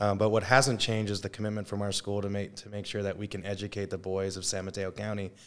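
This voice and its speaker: The recording is very clean, with a silent background. A man with a fairly low pitch speaks at a fairly quick pace in a monotone, flat delivery. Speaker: high school football coach. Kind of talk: casual interview. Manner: fast.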